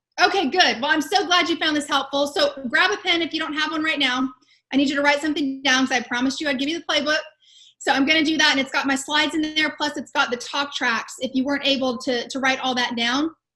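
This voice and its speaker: A woman speaks very fast in a raised, projected voice with an American accent. Her pitch is high, and her tone is bright and sharp. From Texas. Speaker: sales and communication coach. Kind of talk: webinar presentation. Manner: animated.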